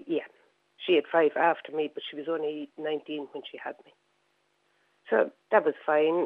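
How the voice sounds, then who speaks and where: In an Irish accent, a woman with a very deep, low pitch speaks at a moderate pace. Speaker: caller. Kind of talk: radio call-in. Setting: phone call.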